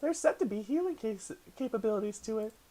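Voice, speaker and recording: A put-on character voice with a cheerful tone and fairly high pitch. The words come out at a very fast pace. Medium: actual play. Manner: cheerful, cutesy, giggly.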